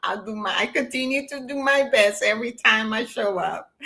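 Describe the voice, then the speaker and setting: With a non-native accent, a woman talks with ordinary pitch variation and big swings in loudness. Noticeable background noise is present. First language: not English. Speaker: spiritual practitioner. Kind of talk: closing remarks to livestream audience.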